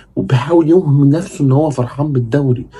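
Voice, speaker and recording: Dark and mellow in tone, this man's voice sits at a medium pitch. It is somewhat breathy. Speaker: football commentator, YouTuber. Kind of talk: casual monologue, fan commentary. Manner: animated; kept down, not raising voice at night.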